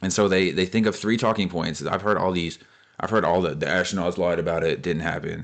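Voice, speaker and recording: In an American accent, a man talks very fast at a very deep, low pitch over a quiet background. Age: 20s. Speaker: space content creator. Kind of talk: casual commentary reacting to comments. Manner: animated.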